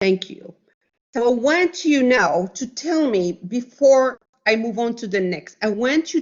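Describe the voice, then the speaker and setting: A woman speaks at a very slow pace and fairly high pitch. Her pitch swings very widely. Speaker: biology professor. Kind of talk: lecture.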